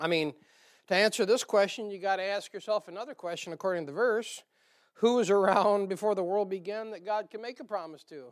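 A man with a northern US accent talks at a fairly quick pace and a high pitch. His loudness swings widely. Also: ordinary pitch variation. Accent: northern US, nasal on some words. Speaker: pastor teaching Bible study. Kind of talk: sermon-style Bible study. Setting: church congregation. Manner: folksy, with frequent filler uh.

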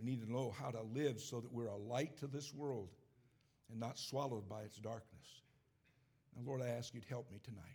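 A man with an American accent speaks at a fairly quick pace in a medium-pitched, dark, mellow, somewhat breathy voice, using fairly even intonation and long, frequent pauses. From upstate New York. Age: 70s. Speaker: preacher. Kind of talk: sermon. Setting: church service.

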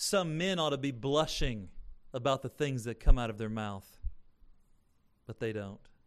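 Pausing long and often, a man at a medium pitch speaks at a moderate pace with lively intonation and big swings in loudness. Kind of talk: sermon. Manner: earnest, emphatic pulpit delivery with rhetorical questions and moral exhortation; teacherly, explaining scripture point by point.

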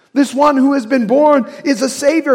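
In an American accent, a man is talking. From US Midwest, Indiana. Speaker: pastor. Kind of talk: sermon. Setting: church.

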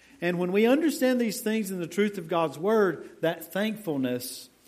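Audible room echo follows a man's voice as he speaks at a fairly slow pace. His pitch swings very widely. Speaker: pastor. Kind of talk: sermon. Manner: quiet.

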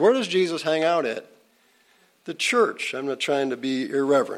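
A man is speaking. His pace is moderate. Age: 60s. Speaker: pastor teaching a Bible class. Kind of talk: Bible lesson. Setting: church classroom with audience. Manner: hesitant fillers, repeats words.

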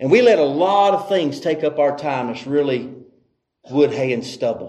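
With a Southern US accent, a man speaks at a fairly high pitch and a fairly slow pace, showing ordinary pitch variation and long, frequent pauses. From North Carolina. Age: 40s. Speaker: visiting preacher. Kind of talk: sermon. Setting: church.

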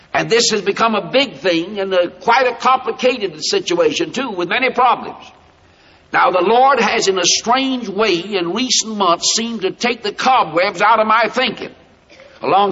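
Over noticeable background noise, a man speaks in an American accent at a moderate pace. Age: 60s. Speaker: preacher and school founder. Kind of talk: sermon. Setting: chapel platform with student audience. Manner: emphatic.

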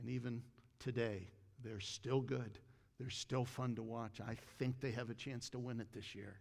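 The intonation is monotone and flat. The voice is somewhat breathy. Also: man, medium pitch for a man, moderate pace. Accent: American. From Ohio, US Midwest. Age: 60s. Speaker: pastor. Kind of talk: sermon. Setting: church.

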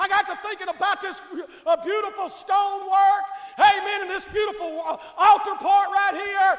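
Speaking with a Southern US accent, a man uses an extremely high pitch and monotone, flat intonation. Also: moderate pace. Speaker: pastor. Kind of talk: sermon. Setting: church.

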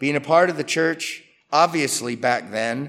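Bright and sharp in tone, a man's fairly high voice moves at a moderate pace. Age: 60s. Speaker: pastor. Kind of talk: sermon.

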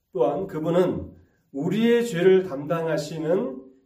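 Audible room echo around a man's fairly high-pitched voice, its pitch varying in the usual way. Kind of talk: sermon.

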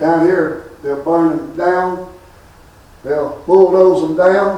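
Over noticeable background noise, a man with a high pitch speaks at a very slow pace with fairly even intonation. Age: 60s. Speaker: preacher. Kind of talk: sermon. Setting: funeral service.

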